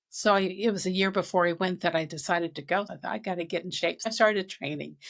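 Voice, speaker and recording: Over a silent background in a very clean recording, a woman speaks very fast at a medium pitch with fairly even intonation. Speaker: author and speaker. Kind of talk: interview.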